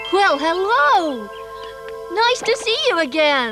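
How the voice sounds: An extremely high-pitched, cartoonish character voice talks at a very slow pace over clear background music.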